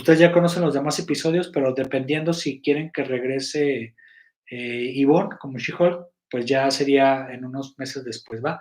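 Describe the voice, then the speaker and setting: A man's fairly high voice at a moderate pace, with fairly even intonation and big swings in loudness. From Mexico, Guadalajara. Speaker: web series producer and live host. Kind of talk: live stream chat to members. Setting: live stream. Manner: halting, many fillers and restarts.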